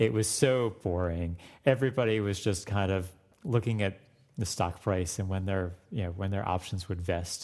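In an American accent, a man with an unremarkable speaking voice and fairly low pitch talks at a moderate pace with ordinary pitch variation in a very clean recording with a silent background. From Florida. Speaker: music professor. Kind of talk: interview.

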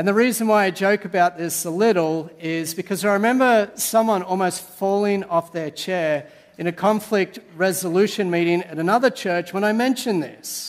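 Speaking at a moderate pace with an Australian accent, a man with a high pitch shows ordinary pitch variation. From Sydney, Australia. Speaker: pastor. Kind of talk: sermon. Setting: church.

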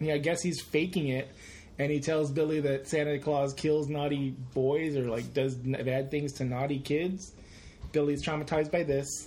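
A man speaks at a moderate pace with a fairly high pitch, a dark, mellow, somewhat breathy tone, and monotone, flat intonation. His loudness is very even, and there is audible room echo. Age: 40s. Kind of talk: casual chat.

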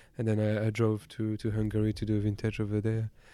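A man speaks with a French accent and a dark, mellow tone. The recording is very clean, with a silent background. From western France, countryside near Nantes. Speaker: winemaker. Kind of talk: casual chat. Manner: halting.

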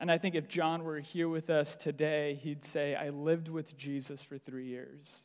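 A man with a General American accent talks at a moderate pace and fairly high pitch, with hardly any pauses. His intonation is monotone and flat, on a very clean recording with a silent background. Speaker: preacher. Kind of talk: sermon. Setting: church.

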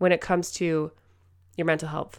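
Heard in a very clean recording with a silent background, a woman talks at a fairly quick pace. Her tone is animated. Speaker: podcast host, mother. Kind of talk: motivational solo talk.

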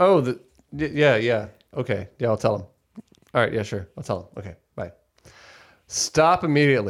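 With an animated tone and lively intonation, a man at a medium pitch speaks at a moderate pace, his loudness swinging widely between long, frequent pauses. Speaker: podcast host. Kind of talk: casual banter. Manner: animated, joking.

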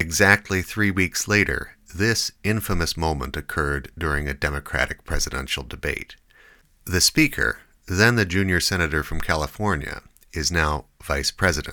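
Recorded very cleanly against a silent background, a man speaks with a very deep, low pitch, a bright, sharp tone, vocal fry, and ordinary pitch variation. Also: moderate pace. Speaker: podcast host. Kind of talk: interview.

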